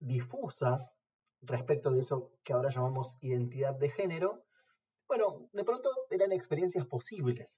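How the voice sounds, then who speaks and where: Somewhat breathy and fairly high, a man's voice moves at a fairly slow pace with lively intonation. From Argentina, La Plata. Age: 40s. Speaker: philosophy lecturer. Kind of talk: interview testimony. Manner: formal.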